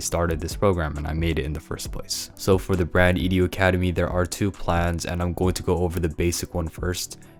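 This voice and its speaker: Speaking very fast with fairly even intonation, a man with a very deep, low pitch is heard over noticeable background noise. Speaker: clothing brand mentor. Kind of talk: sales pitch. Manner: casual.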